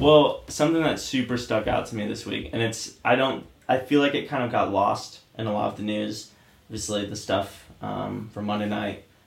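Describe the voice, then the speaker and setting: Male speaker at a moderate pace amid noticeable background noise. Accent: American. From Oregon. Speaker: podcast co-host. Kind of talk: casual chat.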